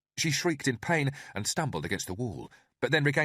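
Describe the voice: Read aloud plainly with lively intonation over a quiet background.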